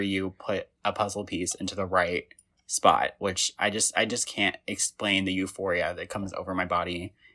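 An ordinary speaking voice from a man with an American accent, fairly low in pitch, at a moderate pace, with a dry, close sound with no echo, in a very clean recording with a silent background. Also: hardly any pauses. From Indiana. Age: 20s. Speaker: podcast host. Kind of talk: casual chat.

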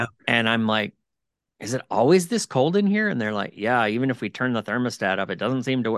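A plain, everyday voice from a man, medium in pitch with ordinary pitch variation, in a dry, close sound with no echo over a quiet background. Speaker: podcast host. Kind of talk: casual interview conversation.

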